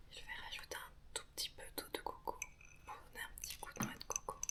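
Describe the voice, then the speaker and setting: Whispering at a fairly quick pace, a woman takes long, frequent pauses amid noticeable background noise. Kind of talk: ASMR bedtime story reading. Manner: whispered, soft-spoken.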